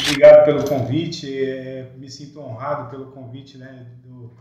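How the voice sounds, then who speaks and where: Audible room echo fills the space. In it, a man talks at a very slow pace. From Rondônia, Brazil (from age 8; born Mato Grosso do Sul). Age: 50s. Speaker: businessman and prison officer. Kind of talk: podcast interview.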